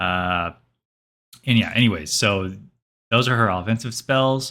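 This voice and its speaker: A man speaks at a fairly slow pace with a fairly low pitch and ordinary pitch variation. His tone is bright and sharp, on a very clean recording with a silent background. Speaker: gaming youtuber. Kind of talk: reaction video commentary. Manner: halting, many fillers; casual.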